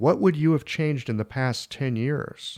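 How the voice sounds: On a very clean recording with a silent background, a man speaks at a fairly slow pace in a medium pitch with a slightly mellow tone and ordinary pitch variation.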